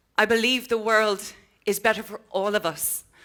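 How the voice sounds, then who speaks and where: A woman with an Irish accent talks at a fairly slow pace in a medium pitch, her tone bright and sharp, in a very clean recording with a silent background. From Ireland. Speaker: social entrepreneur. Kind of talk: motivational keynote speech. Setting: conference stage with audience.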